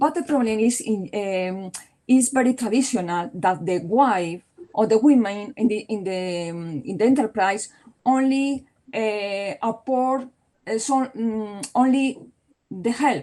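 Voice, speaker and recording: Speaking at a fairly slow pace, a woman with a Spanish accent has a fairly high pitch, lively intonation and a dark, mellow tone. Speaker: law professor. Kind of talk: Q&A discussion; conference presentation. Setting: conference. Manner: halting.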